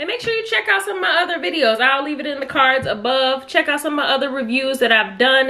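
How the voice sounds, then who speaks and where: A woman's high-pitched voice at a very fast pace with ordinary pitch variation. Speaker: food vlogger. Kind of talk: casual mukbang review chat. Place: home room. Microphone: camera far.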